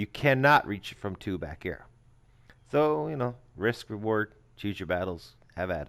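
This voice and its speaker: In a very clean recording with a silent background, a man with a fairly low pitch speaks at a moderate pace with lively intonation. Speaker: video game streamer. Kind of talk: gameplay commentary. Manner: halting.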